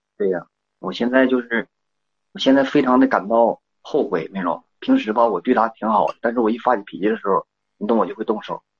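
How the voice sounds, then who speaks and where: A man at medium pitch and a fairly quick pace, in a dry, close sound with no echo. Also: ordinary pitch variation. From rural China. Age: 30s. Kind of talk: phone call. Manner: halting.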